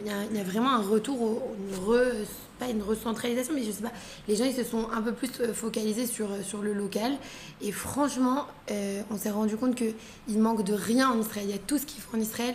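Noticeable background noise is present throughout. The speaker's intonation remains fairly even. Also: woman, fairly high pitch for a woman, moderate pace. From France, Paris. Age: 20s. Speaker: entrepreneur. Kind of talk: casual chat.

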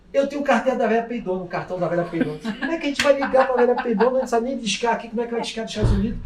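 Amid noticeable background noise, a man with an extremely high pitch talks in an animated tone with ordinary pitch variation. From Minas Gerais, Brazil. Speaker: friend of host's father. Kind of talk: voice message storytelling.

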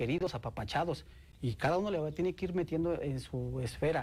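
This man's pitch moves up and down in an ordinary way. He speaks fairly quickly. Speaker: state sports commission director. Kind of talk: interview.

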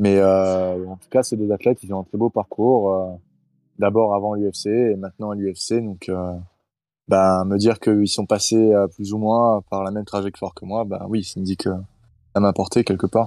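Against a quiet background, the voice has a dark, mellow tone and a flat, monotone delivery at a fairly slow pace, with big swings in loudness and a dry, close sound with no echo. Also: man, fairly low pitch for a man. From Nice, southern France. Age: 20s. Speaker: MMA fighter. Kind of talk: interview. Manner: hesitant, many fillers.

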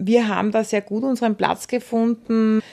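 A woman speaks with a dark, mellow tone. The background is quiet, and the sound is dry and close with no echo. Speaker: entrepreneur. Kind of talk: radio portrait interview.

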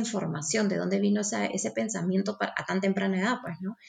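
A woman speaks at a medium pitch. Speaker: energy healer. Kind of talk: interview.

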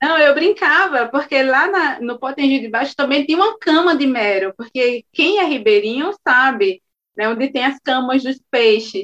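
Speaking fairly slowly with hardly any pauses, a woman uses a high pitch and lively intonation. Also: dry, close sound with no echo. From Alagoas, Brazil (São Francisco river village). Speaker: storyteller and actress. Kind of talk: interview conversation.

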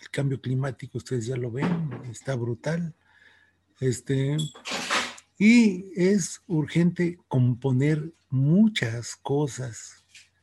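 Very slowly and somewhat breathily, a man with fairly high pitch and a dark, mellow tone speaks with lively intonation and big swings in loudness, in a dry, close sound with no echo. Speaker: teacher. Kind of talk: interview.

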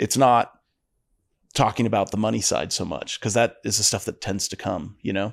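In a very clean recording with a silent background, a man with a fairly low voice speaks at a moderate pace with fairly even intonation, the sound dry and close with no echo. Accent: US Midwestern. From northeastern Ohio, US. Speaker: pest control business owner. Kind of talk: casual interview.

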